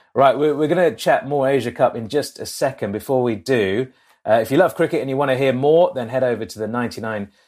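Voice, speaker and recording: On a very clean recording with a silent background, a man with an English accent speaks at a fairly quick pace and medium pitch. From England. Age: 30s. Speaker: cricket podcast host and journalist. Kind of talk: casual chat.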